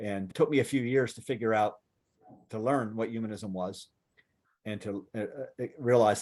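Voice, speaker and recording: Using an ordinary speaking voice, a man talks at a moderate pace in a medium pitch with fairly even intonation and big swings in loudness. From US, Western Pennsylvania. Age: 60s. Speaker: secular activist and writer. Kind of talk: Q&A talk to audience.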